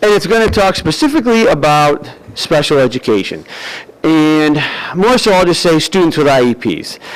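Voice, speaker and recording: A man with an American accent, fairly high in pitch, lively in intonation, very even in loudness, at a moderate pace amid noticeable background noise. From US Northeast. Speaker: parent speaking at public comment. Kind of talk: public comment at school board meeting.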